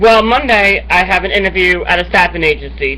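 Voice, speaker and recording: Noticeable background noise accompanies a man talking very fast. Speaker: online show host. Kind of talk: casual monologue to camera.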